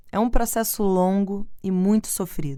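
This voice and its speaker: Silence fills the background of this very clean recording. The speaker is a woman. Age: 30s. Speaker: podcast host. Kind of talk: personal reflective monologue.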